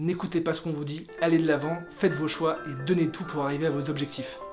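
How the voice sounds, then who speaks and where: Music plays in the background as a man with a high pitch talks at a fairly quick pace. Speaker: lawyer and legal digital consultant. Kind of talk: casual talk to camera.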